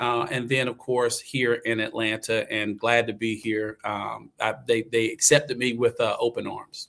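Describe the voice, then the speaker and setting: A man with a Southern US accent speaks at a medium pitch and a fairly slow pace, with hardly any pauses. His intonation is monotone and flat, and the recording is very clean with a silent background. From US South, eastern North Carolina. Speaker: actor and acting coach. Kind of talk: casual interview chat.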